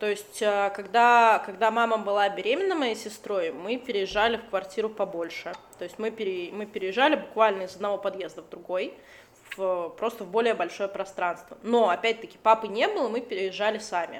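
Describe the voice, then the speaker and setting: This woman has a normal speaking voice, medium in pitch, moving at a moderate pace with ordinary pitch variation and big swings in loudness. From Latvia. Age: 20s. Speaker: artist and illustrator. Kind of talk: casual chat.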